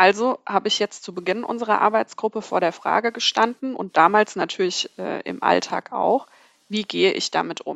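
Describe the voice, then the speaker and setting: Using vocal fry, a woman speaks at a moderate pace with a medium pitch and ordinary pitch variation. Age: 30s. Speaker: newspaper editor. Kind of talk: casual chat.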